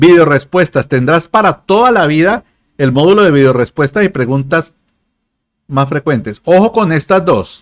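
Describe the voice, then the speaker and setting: Against a quiet background, a man speaks at a moderate pace with a fairly high pitch and lively intonation. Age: 50s. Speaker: digital marketing consultant and YouTuber; YouTuber. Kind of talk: livestream sales talk. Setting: live stream.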